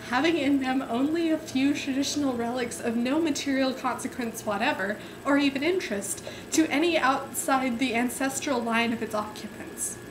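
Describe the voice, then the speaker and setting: A woman's high voice with an amused tone at a moderate pace, over noticeable background noise. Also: ordinary pitch variation. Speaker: amateur reader. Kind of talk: dramatic reading of a book to camera, giggling; casual talk to camera. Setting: home webcam recording. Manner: giggly, amused, stumbling over words. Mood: amused, suppressing giggles. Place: home room. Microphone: webcam.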